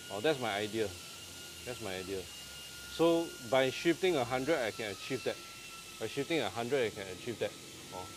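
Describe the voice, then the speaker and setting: With lively intonation, a man talks in a Singaporean accent over noticeable background noise. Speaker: renovation contractor and interior designer. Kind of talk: casual live stream walkthrough. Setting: countertop fabrication factory, live video. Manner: animated.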